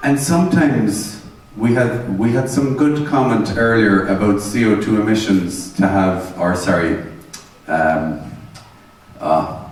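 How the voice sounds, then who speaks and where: A man with a fairly low voice and lively intonation at a fairly slow pace, with noticeable background noise and audible room echo. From Ireland. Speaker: energy management trainer. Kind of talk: seminar lecture. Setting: seminar room with audience and interpreters. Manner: conversational, interactive.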